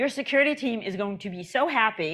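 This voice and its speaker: Lively intonation carries the speech over a quiet background. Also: woman. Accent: New York. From New York. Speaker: conference speaker on agile transformation. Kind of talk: conference talk. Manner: conversational, with fillers and restarts.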